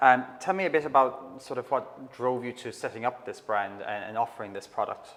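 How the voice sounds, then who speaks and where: A man with an Irish accent talks at a fairly quick clip, barely pausing, his volume jumping up and down a lot. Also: medium pitch for a man, ordinary pitch variation. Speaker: interior designer interviewing a supplier. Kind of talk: interview. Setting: showroom.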